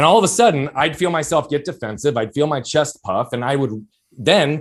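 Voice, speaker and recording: A loud man with a fairly high pitch. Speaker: entrepreneur and performance coach. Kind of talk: podcast interview. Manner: fast.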